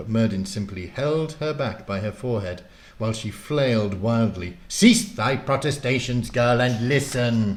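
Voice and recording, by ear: Someone reads aloud in a natural voice.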